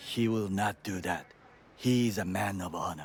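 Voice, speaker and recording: Using a put-on character voice, a man talks at a moderate pace with fairly low pitch and fairly even intonation. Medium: video game. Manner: formal, stiff, no contractions.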